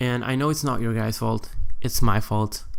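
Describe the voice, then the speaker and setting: A man with a Portuguese accent speaks in a monotone, flat intonation. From Portugal. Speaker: gaming YouTuber. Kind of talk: casual vlog talk. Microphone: new microphone.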